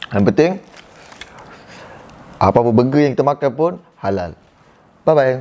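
A man's lively intonation comes at a moderate pace. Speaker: food vlogger. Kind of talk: casual vlog chat. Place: home room. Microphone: phone near.

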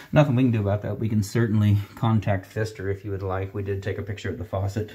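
A man's fairly low, somewhat breathy voice has a dark, mellow tone and fairly even intonation. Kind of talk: explanation to a customer. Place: bathroom. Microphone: phone near.

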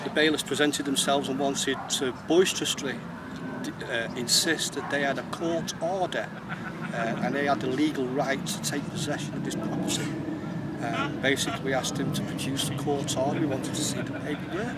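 The sound is dry, with no echo, and loud background noise runs underneath. The speech moves at a fairly quick pace. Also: man. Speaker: interviewee. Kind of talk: interview answer. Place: street.

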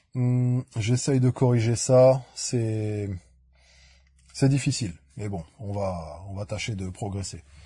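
Against a quiet background, a man with a somewhat breathy, dark, mellow voice speaks at a very slow pace with long, frequent pauses, medium pitch, ordinary pitch variation and big swings in loudness. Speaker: YouTuber answering viewer comments. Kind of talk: casual comment-reading vlog. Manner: hesitant, many fillers.

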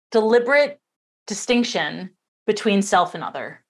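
This woman speaks with lively intonation. The background is quiet. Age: 40s. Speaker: summit interviewer. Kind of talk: interview. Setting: video call. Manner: animated. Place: home room.

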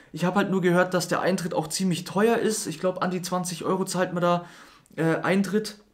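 Speaking at a fairly quick pace, a man holds a high pitch with fairly even intonation.

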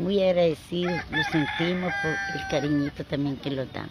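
A woman speaks at a fairly low pitch. The sound is dry with no echo, though background noise is noticeable. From Nicaragua. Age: old. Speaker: pilgrim. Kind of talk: testimony. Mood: warm, devout, grateful. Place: open country. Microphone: handheld.

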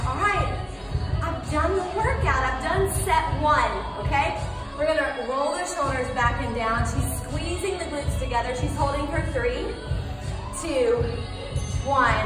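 A woman at a fairly slow pace with long, frequent pauses, clear music in the background and audible room echo. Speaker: fitness instructor. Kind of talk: workout instruction. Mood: calm, encouraging. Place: gym.

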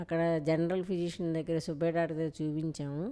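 A woman is speaking. Her pitch is fairly low. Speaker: patient's daughter-in-law. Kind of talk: patient testimonial. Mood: calm, grateful.

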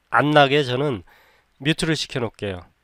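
Male speech with ordinary pitch variation at a moderate pace, recorded very cleanly against a silent background. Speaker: video editing tutor. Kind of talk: tutorial. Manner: unscripted, conversational.

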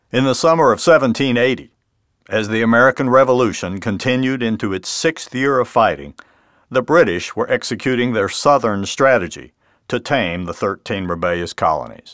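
At a moderate pace, a man speaks in a plain, everyday voice with lively intonation. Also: medium pitch for a man. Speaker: author and history narrator. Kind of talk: documentary history narration.

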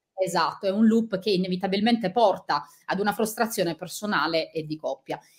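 A somewhat breathy voice moves at a fairly quick pace. Its pitch varies in an ordinary way over a quiet background. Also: woman. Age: 40s. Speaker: author and journalist; journalist. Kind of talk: interview; interview answer. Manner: halting. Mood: sincere, personal, reflective. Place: home room.

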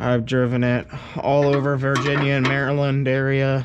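Over noticeable background noise, a man talks at a moderate pace in a monotone, flat intonation. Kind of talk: casual vlog chat. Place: garage. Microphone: phone near.

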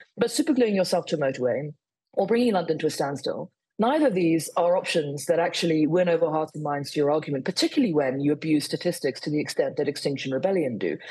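Somewhat breathy and fairly low in pitch, a woman speaks with lively intonation over a quiet background. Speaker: guest. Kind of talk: interview answer. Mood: firm, critical. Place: home room. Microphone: video call.

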